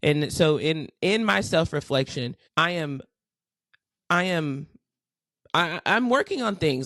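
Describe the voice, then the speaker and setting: Lively intonation comes through in a dry, close sound with no echo. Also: woman. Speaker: podcast co-host. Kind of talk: casual chat. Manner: loud, boisterous.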